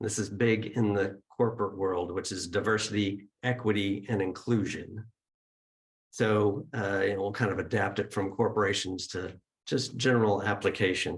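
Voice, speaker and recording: A somewhat breathy voice at a moderate pace, with monotone, flat intonation. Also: man, fairly low pitch for a man. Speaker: spiritual center leader opening the service. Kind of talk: service announcements and opening remarks. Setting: gathering with live audience and Zoom viewers.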